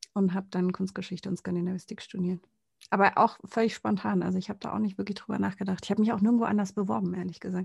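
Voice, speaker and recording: Speaking at a very fast pace, a woman has a somewhat breathy voice of medium pitch. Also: ordinary pitch variation. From Konstanz, southern Germany (Lake Constance). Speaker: podcast co-host. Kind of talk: casual chat.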